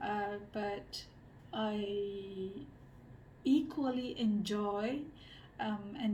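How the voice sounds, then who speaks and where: A woman's fairly high, dark, mellow voice, somewhat breathy, with fairly even intonation and audible room echo. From Malaysia. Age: 30s. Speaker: social researcher and designer. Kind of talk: interview monologue. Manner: hesitant, many fillers.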